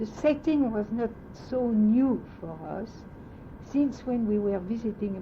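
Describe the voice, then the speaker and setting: A woman speaks in a French accent. Her pace is very slow. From France. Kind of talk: oral history interview answer.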